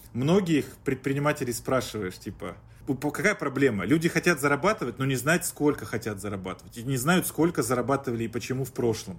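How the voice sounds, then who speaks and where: A somewhat breathy man of medium pitch, at a fairly quick pace with lively intonation. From Chelyabinsk, Russia. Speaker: startup founder and business consultant. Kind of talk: podcast interview, business talk.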